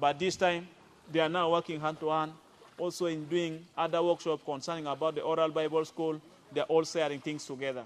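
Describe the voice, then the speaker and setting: The speaker talks at a fairly quick pace with monotone, flat intonation in a South Sudanese accent. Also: man, fairly high pitch for a man. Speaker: pastor and instructor. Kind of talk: testimony. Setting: outdoors by a river.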